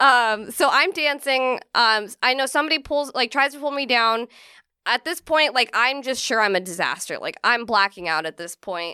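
A woman with a Californian accent speaks at a high pitch in a bright, sharp tone, with lively intonation and a moderate pace. The recording is very clean, with a silent background and a dry, close sound with no echo. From Central California. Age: 30s. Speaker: comedian. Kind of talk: casual chat.

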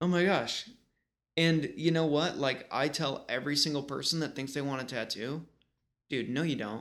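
On a very clean recording with a silent background, a man speaks with an American accent. His pitch is fairly high, with ordinary variation, at a moderate pace. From western New York (Rochester/Buffalo area). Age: 30s. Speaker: tattoo artist. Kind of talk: casual chat. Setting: home painting studio.

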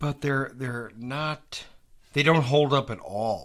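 A man speaks at a very slow pace, his medium-pitched voice keeping a fairly even intonation. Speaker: podcast host. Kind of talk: casual chat, instant movie review.

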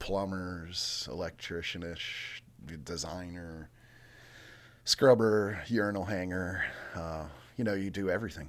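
A man talks in a very deep, low voice with ordinary pitch variation. He leaves long, frequent pauses. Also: fairly slow pace. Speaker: brewery co-founder and brewer. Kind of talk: casual chat. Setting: studio.

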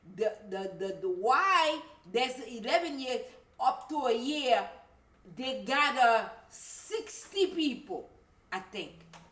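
In a room with audible echo, a woman speaks very slowly at a high pitch, with very wide pitch swings and long, frequent pauses. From Haiti. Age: 50s. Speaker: voodoo priestess. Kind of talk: interview. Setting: shop.

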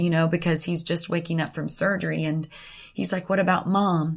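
The speaker is a woman whose voice comes across as somewhat breathy. Her pitch is fairly low. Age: 40s. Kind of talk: devotional talk sharing personal testimony. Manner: hesitant, with frequent fillers.

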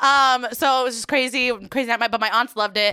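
In a New York accent, a woman talks at a very fast pace with a bright, sharp tone on a very clean recording with a silent background. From New York City.

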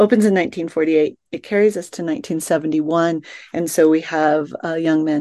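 Speaking at a fairly quick pace, a woman with an American accent has a very deep, low pitch and ordinary pitch variation. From Colorado. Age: 50s. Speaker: novelist. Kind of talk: interview.

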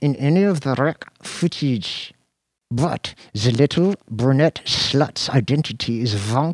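An unforced reading voice comes through with a quiet background.

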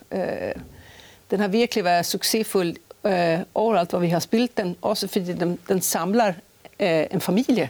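A woman's fairly low voice moves at a moderate pace with ordinary pitch variation. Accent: slight Swedish. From Sweden, Stockholm. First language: Swedish (speaking Danish). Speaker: choreographer and artistic director. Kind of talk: interview. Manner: halting, frequent fillers.

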